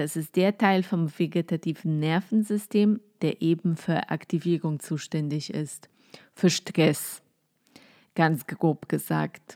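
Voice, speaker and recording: In a Polish accent, a woman speaks at a very slow pace with a fairly low pitch and a relaxed, dark, mellow tone. The sound is dry and close with no echo, on a very clean recording with a silent background. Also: ordinary pitch variation. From Poland. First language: Polish (speaking German). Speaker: podcast host, psychotherapist. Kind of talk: casual solo talk on spirituality. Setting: at home, cosy. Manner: relaxed, with frequent filler sounds.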